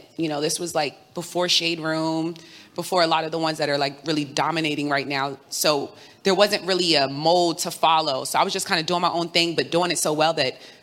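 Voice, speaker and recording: A woman with a fairly low voice and an American accent talks at a fairly quick pace in a normal speaking voice, her intonation fairly even. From New York City. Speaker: journalist and host. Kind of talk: live panel discussion. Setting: live event with audience.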